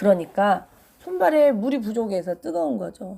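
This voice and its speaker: Her tone is dark and mellow as this woman talks at a fairly slow pace. Her pitch swings very widely. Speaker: pharmacist health advice host. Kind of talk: health Q&A talk.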